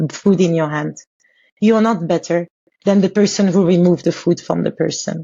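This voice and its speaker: The speaker has a French accent, a somewhat breathy sound, a moderate pace and ordinary pitch variation. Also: woman. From Congo. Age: 40s. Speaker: author and abuse survivor. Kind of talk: podcast interview, personal testimony.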